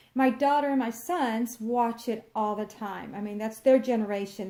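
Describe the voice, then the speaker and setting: Speaking with a Texan accent, a woman keeps a moderate pace, her fairly high voice carrying lively intonation. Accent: Texan Southern US. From Texas. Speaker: crafts vlogger. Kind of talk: casual chat.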